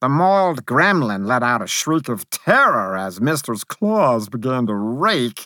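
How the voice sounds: What you hear is a natural reading voice.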